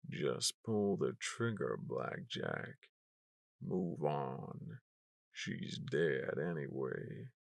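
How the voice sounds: Using a raspy, put-on character voice, a man speaks very slowly.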